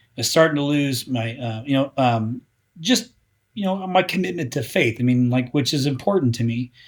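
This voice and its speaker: A man's unremarkable speaking voice with lively intonation at a moderate pace. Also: very clean recording, silent background. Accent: American. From US Midwest, Indiana. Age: 40s. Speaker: marketing company founder. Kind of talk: podcast interview. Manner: casual, filler-heavy.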